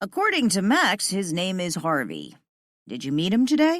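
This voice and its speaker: At a moderate pace, a man uses a high-pitched, put-on character voice. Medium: read story.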